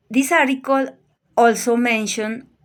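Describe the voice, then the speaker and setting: Someone with a Colombian accent speaks at a fairly slow pace with ordinary pitch variation in a very clean recording with a silent background. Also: woman. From Colombia, Bogotá. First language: Spanish. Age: 50s. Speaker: language student. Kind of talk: prepared presentation.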